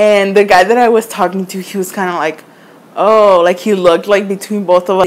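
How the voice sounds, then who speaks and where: A woman's normal speaking voice, medium in pitch, fairly quick, with fairly even intonation. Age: 20s. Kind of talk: casual storytime to camera.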